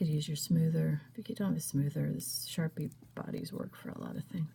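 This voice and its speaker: A woman talks at a fairly quick pace, and noticeable background noise runs underneath. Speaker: craft tutorial maker. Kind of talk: tutorial. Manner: casual, hesitant with fillers.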